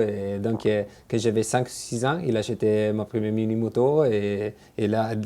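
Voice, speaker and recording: A man with an Italian accent, dark, mellow tone and fairly low pitch, monotone and flat, at a fairly slow pace over a quiet background. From Italy, Genoa. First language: Italian (speaking French). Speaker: motorcycle racer. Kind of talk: interview. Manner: halting, many fillers.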